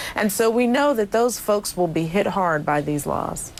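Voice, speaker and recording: A woman's medium-pitched voice with very wide pitch swings against noticeable background noise. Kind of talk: interview answer, advocacy. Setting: studio, remote video interview.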